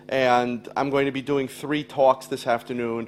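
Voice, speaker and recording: Medium-pitched, moderate-paced man with an ordinary speaking voice. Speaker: education speaker. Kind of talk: lecture.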